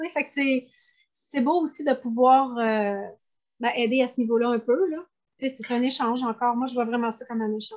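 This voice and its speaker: A woman with a Quebec accent talks at a fairly quick pace in a high pitch. Her intonation is fairly even, broken by long, frequent pauses. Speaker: animal communicator. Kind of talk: interview.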